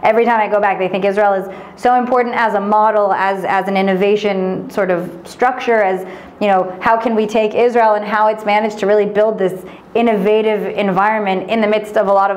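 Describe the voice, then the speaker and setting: A woman with an American accent speaks very fast at a medium pitch, in a monotone, flat intonation and very even loudness. Noticeable background noise and audible room echo fill the recording. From United States. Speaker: venture investment manager. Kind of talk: interview. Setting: office.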